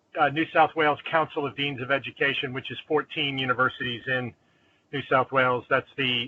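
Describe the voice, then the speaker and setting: A man speaks at a fairly quick pace with an East Coast US accent. His pitch is medium and his intonation stays monotone and flat. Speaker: dean of education. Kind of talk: online meeting introduction.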